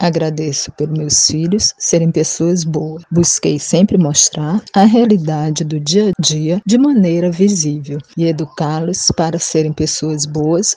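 A woman with fairly low pitch at a fairly slow pace, against noticeable background noise. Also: dry, close sound with no echo. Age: 40s. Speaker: single mother. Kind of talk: personal testimony.

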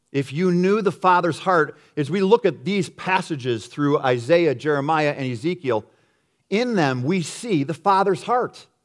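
Over a very clean recording with a silent background, a man talks at a fairly slow pace in a plain, everyday voice, pitched fairly high. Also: lively intonation. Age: 50s. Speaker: pastor. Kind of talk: sermon.

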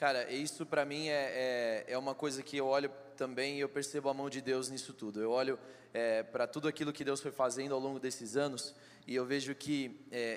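His pitch is fairly high for a man, and his delivery keeps a moderate pace. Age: 20s. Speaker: church member in politics. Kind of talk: testimony. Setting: church stage with audience. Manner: animated.

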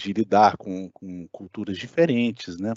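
A man's voice with fairly even intonation. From Brasília, Brazil. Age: 30s. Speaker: electrical engineer. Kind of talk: casual chat.

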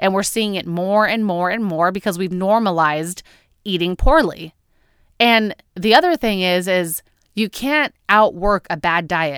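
In an ordinary speaking voice, a woman talks at a fairly slow pace with medium pitch and ordinary pitch variation, the recording very clean with a silent background and a dry, close sound with no echo. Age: 30s. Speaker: podcast host. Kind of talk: solo podcast monologue.

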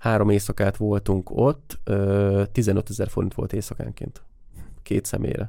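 The tone is dark and mellow, at a moderate pace. The recording is very clean, with a silent background. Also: man. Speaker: photographer and podcast co-host. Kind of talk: casual chat.

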